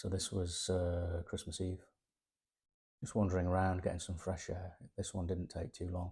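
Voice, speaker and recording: A man speaks in a very deep, low, dark and mellow voice, somewhat breathy and relaxed, with monotone, flat intonation. His pace is moderate with long, frequent pauses, on a very clean recording with a silent background. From East Midlands, England (Sutton in Ashfield). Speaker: artist sketching on location. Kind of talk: casual vlog walkthrough of sketchbook. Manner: relaxed, hesitant with fillers and repeats.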